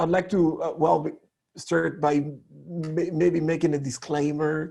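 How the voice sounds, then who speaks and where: A man's fairly high, dark and mellow voice, flat and monotone, with a French accent. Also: fairly slow pace. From DR Congo. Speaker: communication coach. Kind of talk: online workshop talk.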